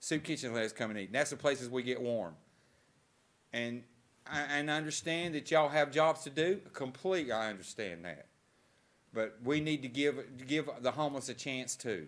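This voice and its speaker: A man at a fairly quick pace, medium pitch, ordinary pitch variation and an unremarkable speaking voice, on a very clean recording with a silent background. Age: 60s. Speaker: homeless resident making public comment. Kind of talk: public comment at council meeting. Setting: council chambers.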